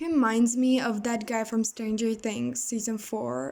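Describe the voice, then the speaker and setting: A woman with a non-native accent speaks at a fairly slow pace, using a fairly high pitch and fairly even intonation. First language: not English. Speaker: gaming YouTuber. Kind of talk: gameplay commentary. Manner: casual, halting with self-corrections.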